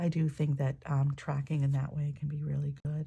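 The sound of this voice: A woman speaks at a moderate pace in a low pitch with little pitch movement. Her dark, mellow tone is croaky, with vocal fry and a slightly husky edge.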